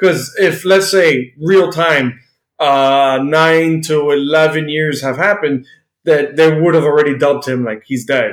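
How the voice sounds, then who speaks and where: A normal speaking voice from a man with an American accent, fairly high in pitch, fairly slow and fairly even in intonation. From United States. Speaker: podcast co-host. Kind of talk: casual chat.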